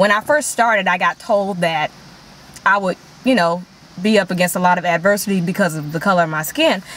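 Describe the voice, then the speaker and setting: A woman with an American accent, medium pitch, ordinary pitch variation and a fairly quick pace, against noticeable background noise. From Chicago, South Side. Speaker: country singer and actress. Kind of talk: casual talk show interview.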